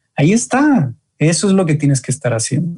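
A man's somewhat breathy, dark and mellow voice at a moderate pace. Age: 20s. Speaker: men's group leader. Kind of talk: interview.

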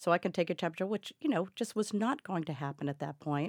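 A plain, everyday voice with an American accent talks at a fairly quick pace with lively intonation. The recording is very clean, with a silent background and a dry, close sound with no echo. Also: woman. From Massachusetts, US. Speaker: caregiver and advocate. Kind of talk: interview.

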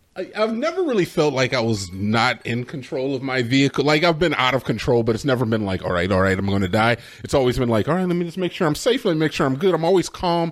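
A man's medium-pitched voice at a very fast pace, with very wide pitch swings, hardly any pauses, and noticeable background noise. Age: 20s. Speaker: podcast co-host. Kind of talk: casual chat.

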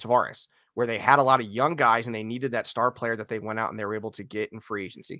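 A man talks at a very fast pace in a bright, sharp tone, with a dry, close sound that has no echo. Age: 30s. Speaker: hockey podcaster. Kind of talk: casual chat.

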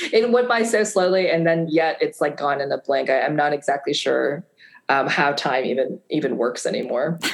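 In an American accent, a woman with a normal speaking voice talks at a moderate pace, fairly low in pitch, with lively intonation. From US Midwest, Fargo, North Dakota. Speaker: novelist. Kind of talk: interview.

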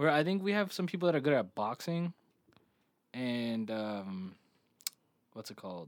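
Pausing long and often, a man with a medium pitch makes very wide pitch swings. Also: moderate pace. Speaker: podcast co-host. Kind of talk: casual chat. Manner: animated.

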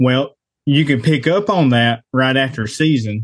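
A man's ordinary speaking voice at medium pitch, with ordinary pitch variation and a quiet background. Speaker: hunter. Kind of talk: casual chat.

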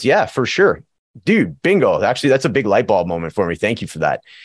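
Someone speaks at a fairly quick pace on a very clean recording with a silent background. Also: man. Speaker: recovery coach and podcaster. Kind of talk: casual interview chat.

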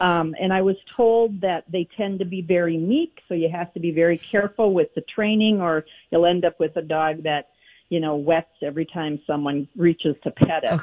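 At a moderate pace, a woman uses an ordinary speaking voice with a fairly low pitch and ordinary pitch variation. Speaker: caller. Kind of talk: casual chat. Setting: phone call.

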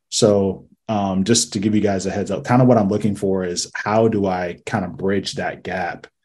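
A man talks in an ordinary speaking voice, pitched fairly low, at a moderate pace. His intonation stays fairly even. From Ohio, US Midwest. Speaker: youth basketball coach. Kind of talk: casual Q&A on video call. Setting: video call.

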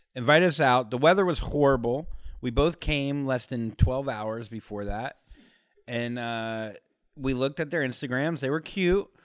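On a very clean recording with a silent background, a man talks at a moderate pace and medium pitch, with ordinary pitch variation. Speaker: comedian. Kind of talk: casual chat. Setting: living room couch.

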